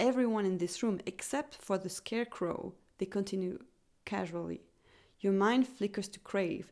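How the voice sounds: A natural reading voice with pitch that shifts in an ordinary way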